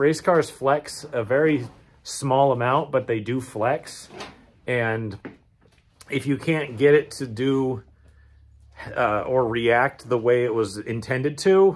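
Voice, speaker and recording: A man talks very slowly, his pitch varying in an ordinary way. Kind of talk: casual vlog chat. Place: garage. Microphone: phone near.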